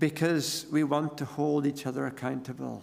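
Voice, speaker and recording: With an Irish accent and a fairly high pitch, a man speaks at a moderate pace amid audible room echo. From Ireland. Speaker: pastor. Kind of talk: sermon.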